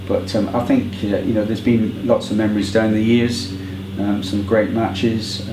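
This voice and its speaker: With a West Country accent, a man speaks at a fairly slow pace in a fairly low, monotone, flat voice, with noticeable background noise and audible room echo. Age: 70s. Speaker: football fan. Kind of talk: oral history interview. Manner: hesitant with many fillers.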